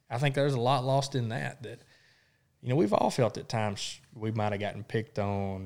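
Spoken at a fairly quick pace with an Arkansas accent, this very clean recording has a completely silent background. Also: man. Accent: Southern US (Arkansas). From South Arkansas. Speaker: podcast co-host. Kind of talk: casual chat.

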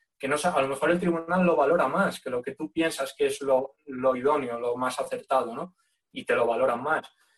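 Here is a man with a plain, everyday voice, fairly high in pitch. He talks at a moderate pace with ordinary pitch variation. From Spain, León. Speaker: firefighter exam candidate. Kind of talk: casual interview.

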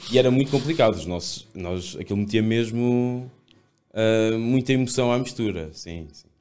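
His tone is dark and mellow, and this man speaks at medium pitch and a moderate pace with ordinary pitch variation and big swings in loudness. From Portugal, Seia (Guarda district). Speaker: esports coach. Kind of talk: casual interview chat.

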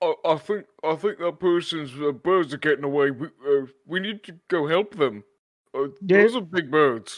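A man puts on a character voice with a high pitch, talking at a fairly slow pace with long, frequent pauses. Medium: actual play. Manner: gentle, friendly.

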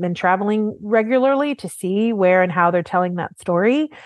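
A plain, everyday voice belongs to a woman speaking at a fairly quick pace with lively intonation. The sound is dry and close, with no echo. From Oklahoma, US. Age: 40s. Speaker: art market journalist. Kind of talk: interview conversation.

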